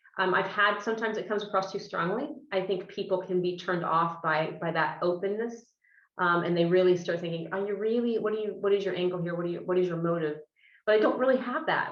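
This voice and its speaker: Speaking very fast in an American accent, a woman uses a medium pitch. Audible room echo surrounds her voice. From US Midwest, Illinois. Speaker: business executive. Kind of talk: interview. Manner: animated.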